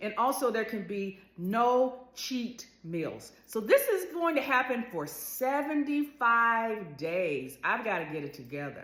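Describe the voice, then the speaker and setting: Audible room echo surrounds a woman's bright, sharp voice, pitched fairly high, swinging very widely in pitch at a fairly slow pace. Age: 60s. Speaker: lifestyle vlogger. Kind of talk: casual vlog monologue.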